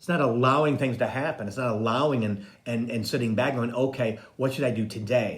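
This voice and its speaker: Somewhat breathy and at medium pitch, a man talks at a moderate pace amid audible room echo. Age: 60s. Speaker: psychic medium and spiritual coach. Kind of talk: casual live-stream monologue.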